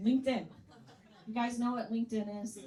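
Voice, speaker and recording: With an American accent, a woman talks in an animated tone at a fairly high pitch, with noticeable background noise behind her. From US Midwest, Chicago area. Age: 60s. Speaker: comedian. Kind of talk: stand-up.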